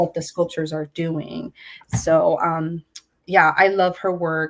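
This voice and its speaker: Very slow and monotone, a woman speaks with flat intonation at a fairly low pitch. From California Central Valley, Porterville. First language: Spanish. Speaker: visual artist. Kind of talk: artist talk interview. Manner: relaxed, reflective with many fillers.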